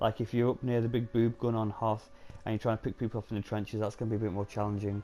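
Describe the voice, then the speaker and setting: A man speaks in a dark, mellow tone with a British accent. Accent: UK. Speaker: gaming YouTuber. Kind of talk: casual game commentary. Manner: hesitant, many filler ums.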